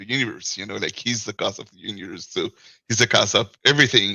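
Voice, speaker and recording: A man with a French accent. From France. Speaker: caller. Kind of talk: casual chat. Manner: halting.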